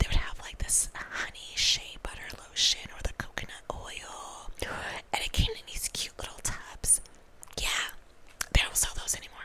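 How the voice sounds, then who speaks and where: A woman whispering at a moderate pace, with big swings in loudness and noticeable background noise. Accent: American. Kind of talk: casual chatty ASMR talk to camera. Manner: soft-spoken, whispery.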